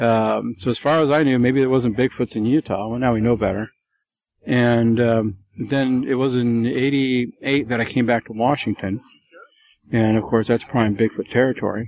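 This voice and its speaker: At a moderate pace, a man speaks in an unremarkable speaking voice of medium pitch and very even loudness. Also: fairly even intonation. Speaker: Bigfoot witness. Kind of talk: interview recounting sightings.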